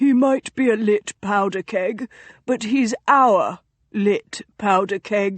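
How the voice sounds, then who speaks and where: A put-on character voice at a very slow pace, with very even loudness and ordinary pitch variation. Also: woman, medium pitch for a woman. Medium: read story. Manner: dry, amused.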